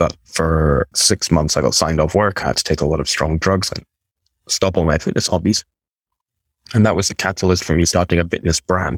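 A man's very deep, low voice with a Scottish accent, fairly quick and fairly even in intonation, in a dry, close sound with no echo. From Scotland, near Aberdeen. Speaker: e-commerce business broker. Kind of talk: interview.

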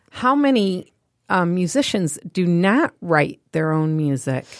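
A plain, everyday voice comes through on a very clean recording with a silent background. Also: woman. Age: 50s. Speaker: radio podcast host. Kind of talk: casual chat interview.

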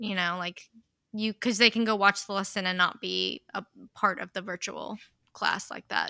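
A woman's medium-pitched voice with vocal fry and flat, monotone intonation, dry and close with no echo, on a very clean recording over a silent background. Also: moderate pace, big swings in loudness. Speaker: high school English teacher.

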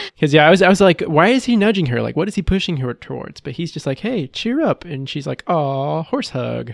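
An unremarkable speaking voice with an American accent moves at a fairly quick pace with hardly any pauses and lively intonation. The sound is dry and close, with no echo. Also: man, fairly high pitch for a man. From Texas. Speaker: podcast host. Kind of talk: casual chat.

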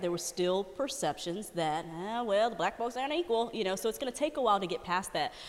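A woman with an American accent and an unremarkable speaking voice talks at a fairly quick pace and a medium pitch, with lively intonation. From Dallas, Texas. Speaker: news anchor. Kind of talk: casual chat.

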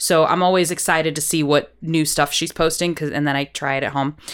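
A woman with an American accent and a plain, everyday voice talks fairly quickly at a fairly low pitch, on a very clean recording with a silent background. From US Midwest, Iowa. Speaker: podcast host, chef and singer. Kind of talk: casual interview chat.

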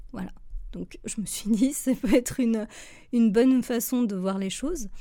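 A woman speaks at a fairly slow pace with a dark, mellow tone, a fairly high pitch and ordinary pitch variation, on a very clean recording with a silent background. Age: 30s. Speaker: graphic designer and trainer. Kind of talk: personal monologue podcast. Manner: halting, many hesitations.

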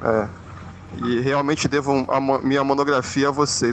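Over noticeable background noise, a man with a medium-pitched voice speaks at a moderate pace in a flat monotone. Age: 40s. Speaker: teacher, listener. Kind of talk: recorded voice message.

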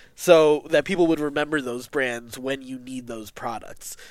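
An unremarkable speaking voice delivered at a fairly quick pace. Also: man, very clean recording, silent background. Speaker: podcast co-creator. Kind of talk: casual interview chat.

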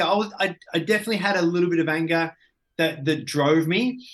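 A man speaks very fast in a high voice, his pitch moving in an ordinary way. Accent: Australian. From Australia, Ballarat (country Victoria). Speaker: business coach and entrepreneur. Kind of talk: casual interview.

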